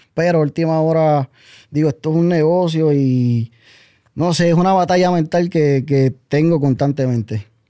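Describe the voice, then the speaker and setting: In a quiet background, a man speaks at a fairly slow pace with a dark, mellow tone, a fairly high pitch with ordinary variation, and very even loudness. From Puerto Rico, Comerío; Puerto Rico. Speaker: music producer; guest. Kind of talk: interview. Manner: serious. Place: studio. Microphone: studio mic.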